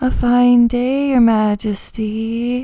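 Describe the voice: The female-sounding voice is a put-on character voice, high-pitched and delivered in a flat monotone.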